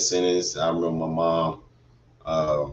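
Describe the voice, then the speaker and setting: This is a man speaking. His pace is fairly slow. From Atlanta, Georgia. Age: 40s. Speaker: formerly incarcerated man. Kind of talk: interview answer.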